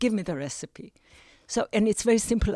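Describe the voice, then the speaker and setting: A woman with a dark, mellow tone is heard on a very clean recording with a silent background. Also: dry, close sound with no echo. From Israel, Jerusalem. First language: Hebrew. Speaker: retired teacher and grandmother. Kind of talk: interview conversation. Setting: studio.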